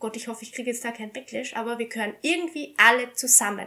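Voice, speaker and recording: The voice is raised and projected, with a bright, sharp tone. Its intonation is lively. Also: woman. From Austria. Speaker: shooting instructor. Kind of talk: casual chat.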